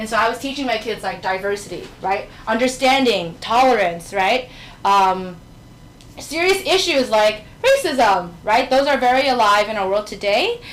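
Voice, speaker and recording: A woman's fairly high voice with a New York accent at a moderate pace, with noticeable background noise and audible room echo. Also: lively intonation. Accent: New York American English. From New York City. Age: 20s. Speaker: teacher. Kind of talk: talk with slides. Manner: casual, conversational.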